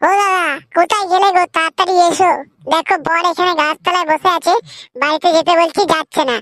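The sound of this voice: A woman does a squeaky, cartoonish character voice at an extremely high pitch. Her loudness stays very even and her intonation fairly even. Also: moderate pace, dry, close sound with no echo.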